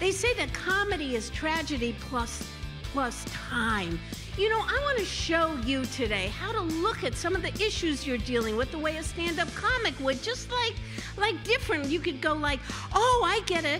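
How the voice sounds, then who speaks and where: Over clear music in the background, a woman speaks at a moderate pace in an upbeat tone. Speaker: comedian and humorous motivational speaker. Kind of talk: live stand-up keynote to audience. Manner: upbeat, comedic. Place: stage. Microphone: handheld.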